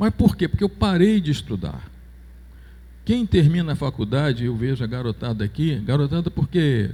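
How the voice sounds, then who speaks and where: This man's voice is fairly high in pitch, dark and mellow in tone, and somewhat breathy. He moves at a moderate pace with very wide pitch swings. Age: 70s. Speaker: church elder. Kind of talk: church announcement. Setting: church.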